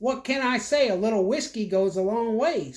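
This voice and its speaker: At a moderate pace, someone performs a put-on character voice with a fairly high pitch. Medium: read story. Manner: crude, cocky.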